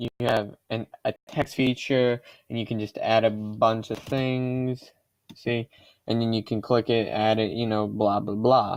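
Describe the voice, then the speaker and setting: A man talks at a moderate pace. His intonation stays monotone and flat. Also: dry, close sound with no echo. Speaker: YouTuber. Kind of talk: tutorial. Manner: halting.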